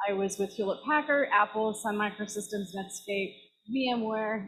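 Speaking at a moderate pace, a woman with an American accent has a somewhat breathy voice. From San Jose, California; California. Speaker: engineer, club member; guest. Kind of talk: self-introduction. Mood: upbeat, cheerful. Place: hall. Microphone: handheld.

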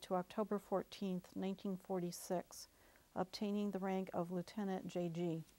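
The woman's tone is dark and mellow, her pitch medium. She keeps a monotone, flat intonation at a moderate pace. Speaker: oral history interviewer. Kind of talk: interview introduction. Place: studio.

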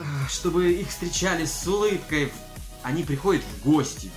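A man at a very slow pace, with clear music in the background. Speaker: business owner blogger. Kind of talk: casual vlog chat. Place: home room. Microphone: phone near.

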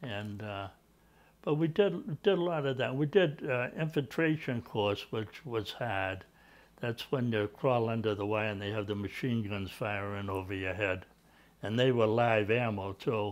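With an Eastern New England accent, a man talks at a fairly slow pace with ordinary pitch variation. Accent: Eastern New England American. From Natick, Massachusetts; Massachusetts. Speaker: Army veteran. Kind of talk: oral history interview answer. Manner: hesitant, conversational. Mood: calm reminiscing. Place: home room. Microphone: lapel.

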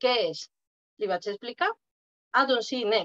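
Against a quiet background, a woman talks in a fairly high pitch with a bright, sharp tone. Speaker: participant sharing experience; guest. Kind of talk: personal testimony. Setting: video call. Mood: relaxed, reflective. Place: home room. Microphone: webcam.

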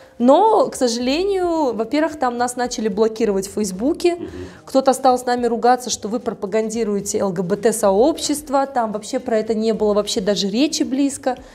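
A woman's high pitch and lively intonation at a moderate pace. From Tajikistan. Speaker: feminist activist and journalist. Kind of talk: interview. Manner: animated.

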